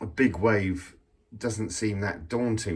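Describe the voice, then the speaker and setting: A somewhat breathy male voice. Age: 60s. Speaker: vlogger. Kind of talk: casual monologue. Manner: halting, repetitive.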